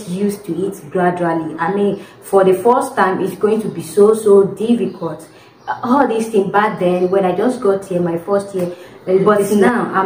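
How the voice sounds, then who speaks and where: A woman speaks at a moderate pace with fairly even intonation. There is audible room echo and light background noise. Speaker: domestic worker vlogger. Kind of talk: casual vlog chat. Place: home room. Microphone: phone near.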